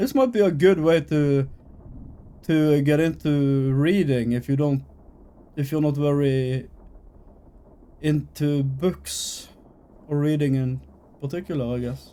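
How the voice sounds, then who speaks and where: Speaking with a non-native accent, a man at a fairly high pitch moves at a fairly slow pace, with fairly even intonation and long, frequent pauses. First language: not English. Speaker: gaming streamer. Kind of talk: game let's play with reading aloud. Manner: casual, reading game text aloud.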